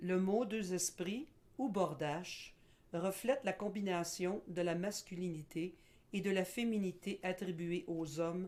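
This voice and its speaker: At a very slow pace, a woman talks in a fairly low pitch with ordinary pitch variation. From Quebec. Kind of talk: educational presentation. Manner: formal.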